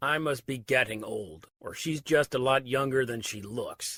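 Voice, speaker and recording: A raspy, put-on character voice from a man, medium pitch, moderate pace. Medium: read story. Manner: blunt, scornful.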